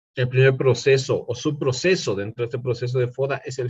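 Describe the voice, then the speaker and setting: A man speaks at a moderate pace with a somewhat breathy voice. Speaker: lecturer. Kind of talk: online lecture. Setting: online class platform.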